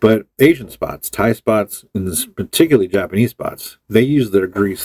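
A man with an American accent at a moderate pace, fairly low in pitch, with ordinary pitch variation and a dry, close sound free of echo. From Los Angeles area, California (Hawthorne). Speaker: musician. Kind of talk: casual chat.

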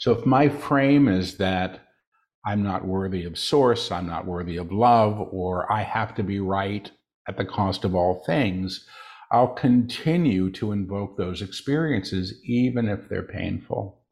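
A man with an unremarkable speaking voice talks at a fairly slow pace. His pitch is fairly low, with ordinary variation. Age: 60s. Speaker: spiritual channel and author. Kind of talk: interview.

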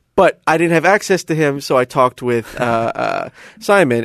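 In an American accent, a normal speaking voice moves at a moderate pace with lively intonation, recorded dry and close with no echo. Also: man. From US South, South Florida. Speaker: DJ. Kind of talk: interview.

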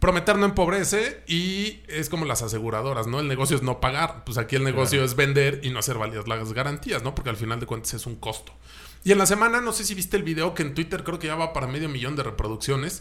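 Very fast, lively intonation in a Mexican accent. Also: man, fairly high pitch for a man. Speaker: car podcast host. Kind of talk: casual chat.

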